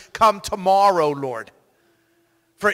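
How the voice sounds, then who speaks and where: Against a quiet background, a man talks in a bright, sharp tone with ordinary pitch variation. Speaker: pastor. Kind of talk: prayer. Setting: church. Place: church. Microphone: handheld.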